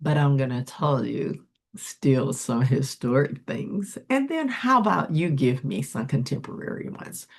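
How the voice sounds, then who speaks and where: A woman's very deep, low-pitched voice with lively intonation at a fairly slow pace. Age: 60s. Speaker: educator and channel host. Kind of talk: educational presentation.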